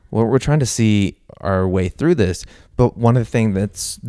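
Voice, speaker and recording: With an American accent, a man speaks at a medium pitch in a dark, mellow tone. The sound is dry and close, with no echo. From US Midwest, Missouri. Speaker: podcast co-host. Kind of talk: casual chat. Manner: halting.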